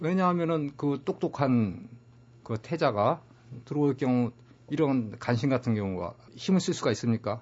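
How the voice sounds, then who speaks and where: A man talks at a moderate pace with a medium pitch and lively intonation. He leaves long, frequent pauses. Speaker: author and publisher, former magazine journalist. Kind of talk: interview about history book.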